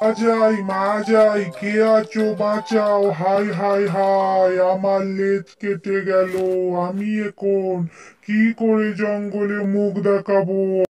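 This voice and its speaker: A cartoonish character voice, fairly high-pitched, drags along at a very slow pace in a monotone, flat intonation. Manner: gloating, sly, laughing.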